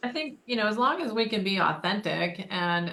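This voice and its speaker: Fairly even intonation in an American accent. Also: woman. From Michigan, Detroit area. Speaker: podcast co-host, former leadership trainer. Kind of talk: casual chat.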